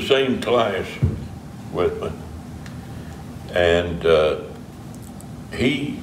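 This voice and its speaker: A man with an Appalachian accent speaks with audible room echo and light background noise. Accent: Appalachian Southern US. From Eastern Kentucky. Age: 80s+. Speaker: pastor. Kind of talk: interview answer. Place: church. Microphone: camera far.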